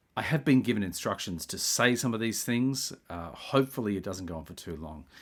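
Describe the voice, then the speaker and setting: On a very clean recording with a silent background, a man with an Australian accent speaks at a fairly quick pace in a fairly low pitch, with lively intonation and big swings in loudness. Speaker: video essayist. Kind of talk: spiritual monologue. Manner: halting.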